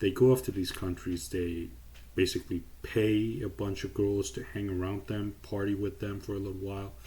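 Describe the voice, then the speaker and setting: A man with a fairly low pitch and a dark, mellow, somewhat breathy tone talks at a moderate pace with ordinary pitch variation. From Iran. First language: Persian. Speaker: YouTuber. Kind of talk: casual commentary vlog.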